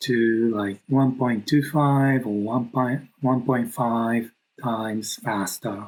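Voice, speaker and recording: The voice is soft-spoken, with a non-native accent. The pace is very slow. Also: man. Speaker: knitwear designer. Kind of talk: tutorial. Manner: slow and soft-spoken.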